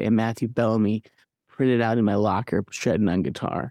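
A man speaks in a dark, mellow tone with a dry, close sound and no echo. The background is quiet. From Michigan, Midland. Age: 30s. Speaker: musician. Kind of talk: interview conversation.

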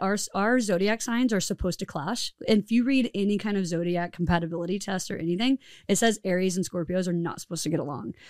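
A woman with an American accent at a very fast pace, animated and nervous in tone, medium in pitch with ordinary variation, in a dry, close sound with no echo. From Tennessee, US South. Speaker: podcast host. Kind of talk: casual chat, podcast intro. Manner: animated, laughing, nervous.

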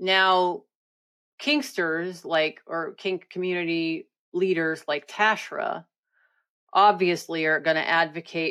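With fairly even intonation and a fairly low pitch, a woman talks in a normal speaking voice on a very clean recording with a silent background. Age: 50s. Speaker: author and researcher on sex crimes. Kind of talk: casual chat.

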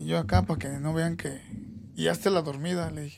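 Noticeable background noise sits behind this man. He speaks at a fairly quick pace with a Mexico City accent. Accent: Mexico City Spanish (chilango). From Mexico City (Iztapalapa). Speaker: MMA fighter's father, former fighter. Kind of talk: casual chat.

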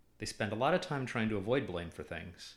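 An unremarkable speaking voice from a man, medium in pitch, with lively intonation and a fairly quick pace. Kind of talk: explanatory academic discussion.

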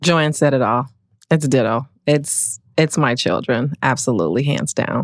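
A woman speaks slowly in a very deep, low voice with vocal fry and ordinary pitch variation. Her loudness stays very even, and the very clean recording is dry and close, with no echo and a silent background. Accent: American. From Milwaukee, Wisconsin. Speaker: corporate lawyer. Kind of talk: podcast interview.

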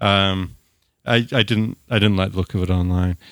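The speaker talks at a fairly quick pace with a New Zealand accent. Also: man. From Dunedin, New Zealand. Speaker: podcast host, atheist. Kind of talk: casual conversational discussion. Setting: remote call from Los Angeles.

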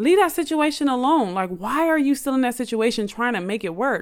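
A woman's high-pitched, animated voice at a moderate pace, with very wide pitch swings. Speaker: podcast host. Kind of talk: casual monologue.

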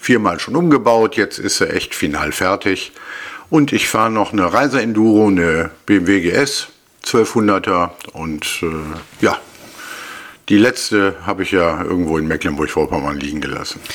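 A man with a fairly low voice speaks at a fairly slow pace with lively intonation, leaving long, frequent pauses. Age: 50s. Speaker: marksmen's club king. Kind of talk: casual interview. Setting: studio, face to face.

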